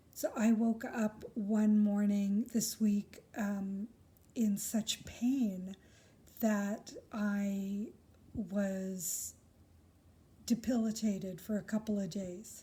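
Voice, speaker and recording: Speaking very slowly with long, frequent pauses, a woman uses a somewhat breathy, dark, mellow tone at medium pitch and fairly even intonation. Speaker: crystal healer. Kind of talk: casual monologue vlog. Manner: halting, many fillers.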